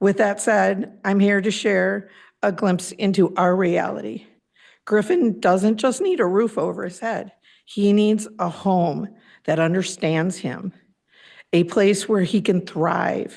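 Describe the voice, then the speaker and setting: A woman speaks very slowly at a medium pitch, with vocal fry and fairly even intonation. The background is quiet. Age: 60s. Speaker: parent speaking at public comment. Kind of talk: prepared public comment. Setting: public board meeting.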